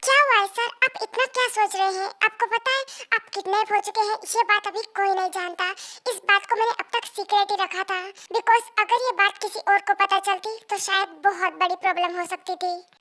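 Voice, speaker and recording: A woman's put-on character voice, squeaky and extremely high, at a fairly quick pace with fairly even intonation. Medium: fan dub. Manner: respectful, earnest.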